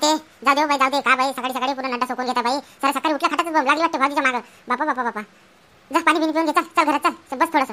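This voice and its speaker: In a cartoonish character voice, a woman speaks at a very fast pace with a high pitch. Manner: gentle, coaxing.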